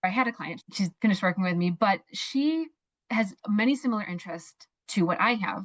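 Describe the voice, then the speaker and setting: Somewhat breathy and animated, a woman speaks at a medium pitch and a fairly quick pace with lively intonation, in a dry, close sound with no echo. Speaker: mindset coach. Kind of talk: interview. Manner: fast.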